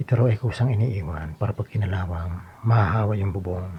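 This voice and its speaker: Over noticeable background noise, a soft-spoken man talks at a fairly quick pace in a fairly low pitch with ordinary pitch variation. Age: 60s. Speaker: vlogger doing home repairs. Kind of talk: casual vlog narration. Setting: outdoors on a rooftop.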